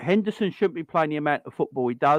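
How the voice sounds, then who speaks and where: In a dry, close sound with no echo and a quiet background, a man with a South London accent speaks at a fairly high pitch with lively intonation. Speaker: football fan show host. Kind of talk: casual chat. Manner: animated.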